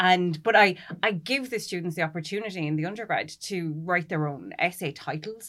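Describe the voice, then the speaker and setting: Speaking in a rural Irish accent, a woman keeps a fairly quick pace and a fairly low pitch. Her pitch varies in an ordinary way on a very clean recording with a silent background. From rural Ireland. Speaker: literature lecturer. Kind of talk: panel discussion. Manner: animated.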